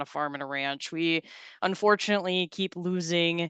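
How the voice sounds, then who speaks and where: A woman with a North Dakota accent, her bright, sharp tone at a fairly low pitch, moderate pace, dry, close sound with no echo and a quiet background. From North Dakota, Galesburg. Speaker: farm safety extension educator and presenter. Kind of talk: webinar presentation. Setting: video call webinar. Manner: halting, many fillers and repetitions.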